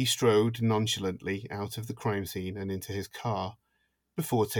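The intonation stays fairly even in a natural reading voice. Little sound comes from the background.

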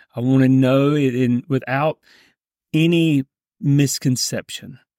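In a very clean recording with a silent background and a dry, close sound with no echo, a man speaks fairly slowly at a fairly high pitch, with an intense tone and fairly even intonation. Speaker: pastor. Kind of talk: fervent prayer. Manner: fervent, earnest, intense.

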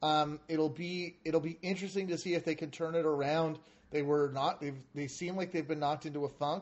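A man with a fairly high pitch talks at a moderate pace, his intonation monotone and flat. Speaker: podcast host. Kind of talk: casual chat.

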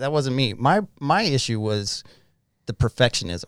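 A man with an American accent at a very slow pace and medium pitch, in a very clean recording with a silent background. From Utah. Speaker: person in addiction recovery, business owner. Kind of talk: testimony.

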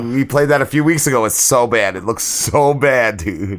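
A fairly quick voice with lively intonation, heard over noticeable background noise. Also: man. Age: 40s. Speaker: podcast co-host. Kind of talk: casual chat.

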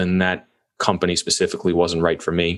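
A fairly quick pace with an American accent. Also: man. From New York. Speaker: real estate investor. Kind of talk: casual interview.

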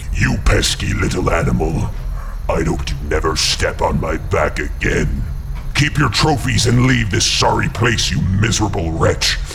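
A man in a put-on character voice at a moderate pace, against loud background noise. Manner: contemptuous, scolding.

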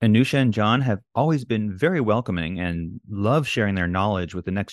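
In a dry, close recording with no echo and a quiet background, a man talks very fast at a fairly low pitch, with lively intonation. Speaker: engineering lecturer, podcast host. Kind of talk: scripted narration.

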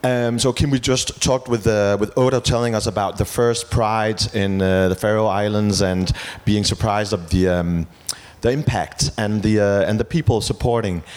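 Moderate pace and ordinary pitch variation in a Danish accent, with very even loudness and noticeable background noise. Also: man, fairly low pitch for a man. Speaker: TV host and journalist. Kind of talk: event moderation. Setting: stage with audience. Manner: animated.

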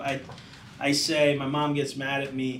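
An American accent at a fairly slow pace, with audible room echo. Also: man. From Florida, Tampa area. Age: 30s. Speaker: chef and deli owner. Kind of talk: casual interview.

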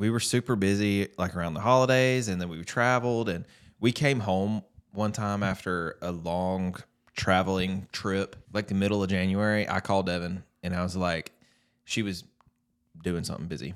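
A man with a Southern US accent speaks at a moderate pace in a fairly low voice, his pitch varying in an ordinary way. The recording is very clean, with a silent background.

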